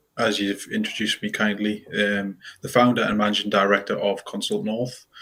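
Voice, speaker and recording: A man's fairly low-pitched voice with a bright, sharp tone and a Geordie accent. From northeast England (Newcastle area). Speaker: quantity surveyor, consultancy founder. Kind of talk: casual interview.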